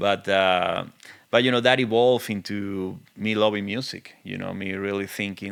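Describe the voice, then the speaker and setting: Speaking in a strong Venezuelan accent, a man keeps a fairly low pitch and fairly even intonation at a moderate pace. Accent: thick Venezuelan Spanish. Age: 40s. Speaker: film and TV composer. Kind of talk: casual interview. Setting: studio.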